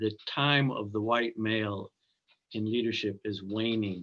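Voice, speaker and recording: At a fairly slow pace, a man with an American accent and an unremarkable speaking voice talks at a medium pitch with fairly even intonation. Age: 60s. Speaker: minister and scholar. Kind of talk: panel conversation.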